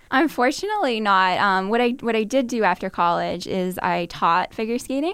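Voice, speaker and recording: Captured in a very clean recording with a silent background, this unremarkable speaking voice moves at a moderate pace with ordinary pitch variation. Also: woman. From Massachusetts, Burlington near Boston. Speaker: finance research analyst. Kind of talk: interview.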